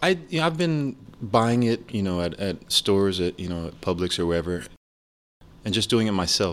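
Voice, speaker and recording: Recorded very cleanly against a silent background, this is an unremarkable speaking voice. It moves at a moderate pace with lively intonation. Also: man, fairly low pitch for a man. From US, moved around; born Rochester, New York. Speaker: jazz musician. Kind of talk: casual chat. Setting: studio.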